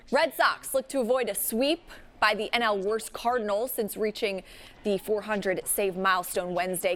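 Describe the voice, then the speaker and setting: A woman's ordinary speaking voice at a medium pitch, with ordinary pitch variation and a moderate pace. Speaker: sports broadcaster. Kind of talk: in-studio sportscast highlights read.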